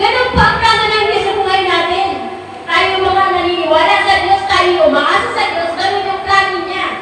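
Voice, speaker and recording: A woman projects a raised voice at an extremely high pitch, moderate in pace but monotone and flat. Audible room echo and noticeable background noise surround her. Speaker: pastor. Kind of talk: sermon. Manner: loud, sounds angry though not.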